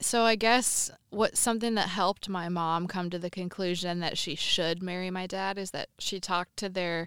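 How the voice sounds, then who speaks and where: A woman speaks in an ordinary speaking voice with fairly even intonation. The recording is very clean and silent in the background, with a dry, close sound and no echo. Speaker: helper telling parents' story. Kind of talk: casual chat in a game segment.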